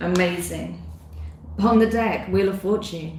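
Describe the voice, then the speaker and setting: Somewhat breathy, a woman speaks at a very slow pace with audible room echo. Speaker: tarot reader. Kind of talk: live-streamed tarot reading. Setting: live stream.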